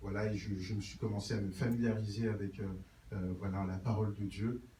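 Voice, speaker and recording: Amid noticeable background noise and audible room echo, a man with a fairly low pitch talks at a fairly quick pace in a monotone, flat intonation. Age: 20s. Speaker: church member giving testimony. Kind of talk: testimony. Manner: halting, many filler words.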